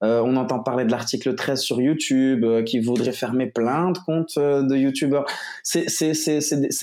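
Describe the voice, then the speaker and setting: The man speaks at a medium pitch with a dark, mellow tone. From Morocco. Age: 20s. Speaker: digital marketing entrepreneur. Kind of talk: interview. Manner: casual.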